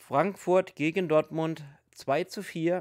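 In a quiet setting, a man is talking. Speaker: hobby youtuber. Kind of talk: casual commentary.

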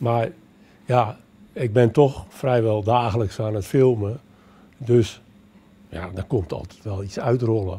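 Long, frequent pauses break up a man's speech. He talks at a very slow pace with ordinary pitch variation. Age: 70s. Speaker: retired amateur nature filmmaker. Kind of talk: interview; interview answer. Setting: public library event. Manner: halting. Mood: cheerful, relaxed. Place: hall. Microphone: handheld.

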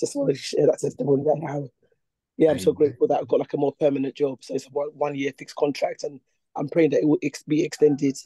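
A man speaks in a put-on character voice, raspy and hoarse, with a fairly high pitch and a very fast pace. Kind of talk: church testimony. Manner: grateful, testimonial. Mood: grateful, joyful.

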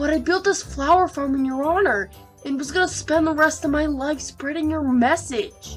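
A put-on character voice moves at a moderate pace while clear music plays in the background. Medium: dub.

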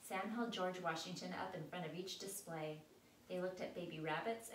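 Natural voice for reading aloud

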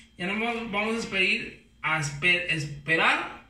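Very slowly, a man with a high-pitched voice speaks in a room with audible echo. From Mexico, Guadalajara (Jalisco); Jalisco. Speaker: home cook YouTuber. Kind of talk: cooking tutorial. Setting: home kitchen. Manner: casual, halting with fillers. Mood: playful, joking. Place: kitchen. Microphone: camera far.

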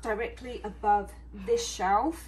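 A woman with a British accent speaks over light background noise. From England. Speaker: DIY creator. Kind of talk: DIY tutorial talk to camera. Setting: garage. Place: garage. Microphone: phone near.

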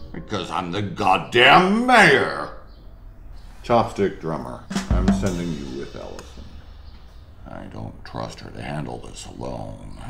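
The speaker talks at a fairly slow pace with long, frequent pauses. Background noise is clearly present. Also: man. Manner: arrogant, bossy.

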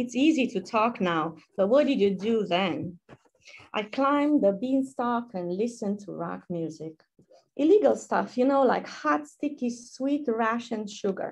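Against a quiet background, a woman with a Romanian accent speaks at a fairly high pitch, somewhat breathy, with lively intonation. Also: fairly slow pace. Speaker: poet. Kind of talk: poetry reading. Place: home room. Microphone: webcam.

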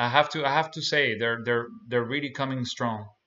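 Ordinary pitch variation in the speech of a man. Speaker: reaction video host. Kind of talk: casual commentary. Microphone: webcam.

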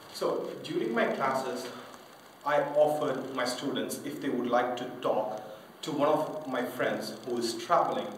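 Light background noise and audible room echo surround a man speaking at a fairly slow pace. His pitch is fairly high, his intonation fairly even. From Indian-born French. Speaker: English teacher. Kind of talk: self-promotional pitch to camera. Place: home room. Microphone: camera far.

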